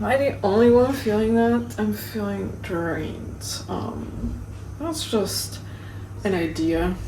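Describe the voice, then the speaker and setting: A quiet woman's voice at a very slow pace, with audible room echo and noticeable background noise. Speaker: knitting vlogger. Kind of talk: casual vlog to camera. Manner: animated.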